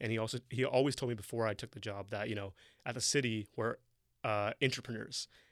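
Speaking at a very fast pace with a Toronto accent, a man keeps a monotone, flat intonation on a very clean recording with a silent background. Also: medium pitch for a man. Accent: Canadian English, Toronto. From Toronto, Canada. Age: young. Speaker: city tech coordinator and entrepreneur. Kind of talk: casual interview chat.

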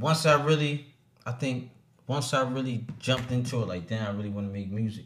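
Somewhat breathy American-accented man, medium in pitch, with ordinary pitch variation and a fairly quick pace. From Trenton, New Jersey. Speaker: rapper. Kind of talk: casual chat. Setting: studio.

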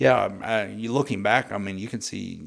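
This man speaks with an American accent at a moderate pace. His intonation stays fairly even. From Oklahoma (Muskogee). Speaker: pastor. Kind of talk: testimony.

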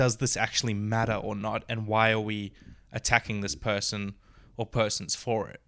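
A man with an Australian accent speaks at a moderate pace in a fairly low pitch, with a bright, sharp tone, monotone, flat intonation and big swings in loudness, on a very clean recording with a silent background. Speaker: podcast co-host, YouTuber. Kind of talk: casual chat. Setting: studio.

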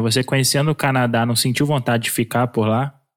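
Over a silent background in a very clean recording, a man with a medium pitch talks at a very fast pace with fairly even intonation. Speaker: podcast co-host. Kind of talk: interview.

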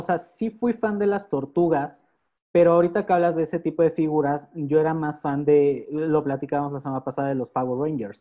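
Dark, mellow tone at a moderate pace over a quiet background. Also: man. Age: 30s. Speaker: podcast co-host. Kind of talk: casual chat.

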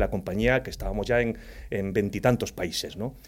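A man speaks in an unremarkable speaking voice with ordinary pitch variation. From Spain, Andalusia (Jaén province). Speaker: cybersecurity executive. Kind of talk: casual interview.

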